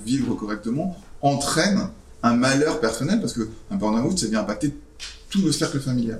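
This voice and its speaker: With audible room echo, a man speaks at a moderate pace, his fairly high pitch carried by lively intonation. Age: 40s. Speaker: startup founder. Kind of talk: interview with school students.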